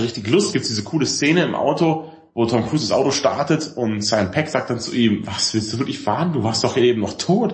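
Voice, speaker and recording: A somewhat breathy man's voice at medium pitch, lively in intonation and moderate in pace. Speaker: podcast co-host, film discussion. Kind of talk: casual chat.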